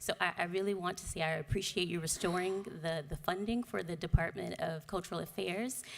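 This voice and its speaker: Speaking fairly quickly with hardly any pauses, a woman uses a fairly low pitch with vocal fry. Her pitch varies in an ordinary way. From Miami, Florida. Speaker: arts nonprofit fellow. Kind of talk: public comment speech. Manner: halting with fillers.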